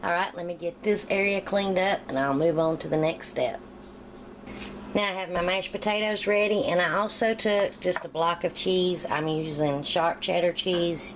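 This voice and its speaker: A woman speaks at a moderate pace with an American accent. Her pitch varies in an ordinary way, and background noise is noticeable. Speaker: home cooking youtuber. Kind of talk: cooking tutorial. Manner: casual.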